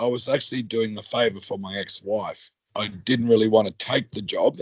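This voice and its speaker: Speaking at a fairly quick pace, a man with an Australian accent keeps a medium pitch and fairly even intonation. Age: 60s. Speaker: worker returned to work after injury. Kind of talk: podcast interview.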